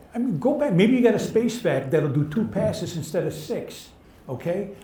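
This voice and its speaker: A man with a dark, mellow tone and lively intonation at a fairly quick pace, in audible room echo. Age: 70s. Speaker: cleaning industry veteran, panelist. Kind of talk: live panel discussion. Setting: live onsite event with audience.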